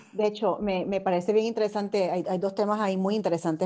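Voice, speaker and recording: This woman's voice has a dark, mellow tone. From Puerto Rico. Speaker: podcast host. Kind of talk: interview.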